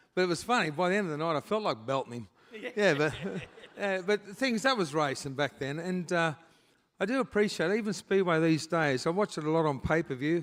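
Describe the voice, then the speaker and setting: A man with an Australian accent, fairly high in pitch, at a fairly quick pace with lively intonation, on a very clean recording with a silent background. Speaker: retired speedway driver, hall of fame inductee. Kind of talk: casual on-stage interview. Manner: casual, plain-spoken.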